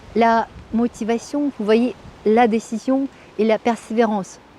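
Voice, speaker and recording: A woman with a Russian accent, her pitch fairly high and her intonation fairly even, at a very slow pace. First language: Russian (speaking French). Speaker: Russian language teacher. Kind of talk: interview. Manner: halting, many hesitations.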